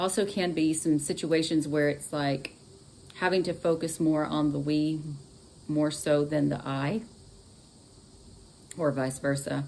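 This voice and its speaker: A woman with a Texan accent talks at a fairly slow pace in a very deep, low voice, with fairly even intonation and long, frequent pauses. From Texas. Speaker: astrology and tarot reader. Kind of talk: live stream horoscope reading. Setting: live stream. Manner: casual, chatty.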